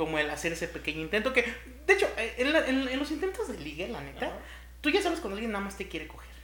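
Amid noticeable background noise and audible room echo, a man speaks at a very fast pace with an extremely high pitch, very wide pitch swings and big swings in loudness. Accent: Mexican. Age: 30s. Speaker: podcast co-host. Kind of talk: casual chat. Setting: home-made studio.

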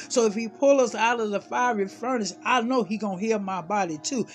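A man talks at a fairly quick pace in a high pitch with ordinary pitch variation. Music plays in the background. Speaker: prayer minister. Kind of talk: fervent prayer, impassioned sermon-like intercession. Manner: commanding, declaring, urgent; rising, preacherly cadence.

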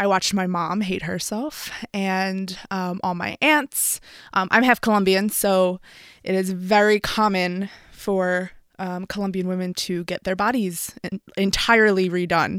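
A woman with an American accent at medium pitch, fairly even intonation, and a fairly slow pace on a very clean recording with a silent background. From Philadelphia, US. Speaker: boudoir photographer. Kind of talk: casual interview chat. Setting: studio.

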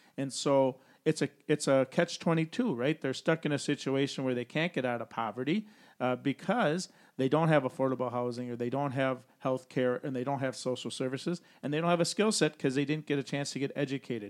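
Speaking in an unremarkable speaking voice, a man with a fairly high pitch moves at a fairly quick pace with ordinary pitch variation, the sound dry and close with no echo in a very clean recording with a silent background. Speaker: financial advisor and podcast host. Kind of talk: casual podcast discussion.

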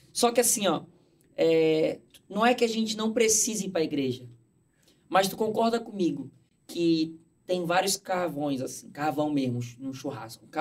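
At a moderate pace, a man speaks in a high pitch with very wide swings and long, frequent pauses. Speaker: content creator. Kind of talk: casual chat. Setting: studio.

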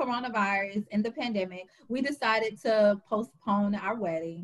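A somewhat breathy voice at a moderate pace. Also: woman. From Louisiana, Baton Rouge. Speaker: author and trainer. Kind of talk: casual interview.

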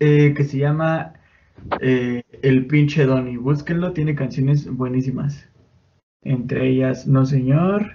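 Somewhat breathy, the voice holds a very even loudness and fairly even intonation at a very slow pace. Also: man, fairly high pitch for a man. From Mexico, State of Mexico (Chimalhuacán). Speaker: podcast host. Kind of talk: casual chat. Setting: home bedroom.

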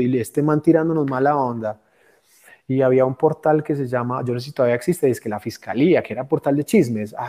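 A man with a plain, everyday voice speaks at a fairly quick pace. His pitch is medium and his intonation fairly even. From Colombia. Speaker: comedian and storyteller. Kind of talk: casual chat.

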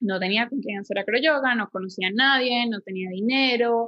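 A woman with a Venezuelan accent speaks at a moderate pace in a high voice, her pitch rising and falling in an ordinary way. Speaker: yoga teacher and podcast co-host. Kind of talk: casual chat. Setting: home living room.

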